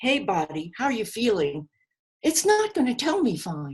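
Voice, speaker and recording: With an American accent, a woman talks at a moderate pace in a somewhat breathy voice. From New York, the Bronx. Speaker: grief seminar teacher. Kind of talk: seminar lecture. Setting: live video call seminar.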